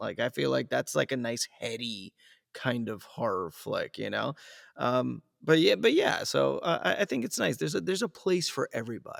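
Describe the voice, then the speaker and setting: A man speaks in a relaxed tone at a moderate pace, with a dry, close sound and no echo. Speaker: voice-over talent and coach. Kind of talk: casual podcast conversation. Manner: laid-back, relaxed.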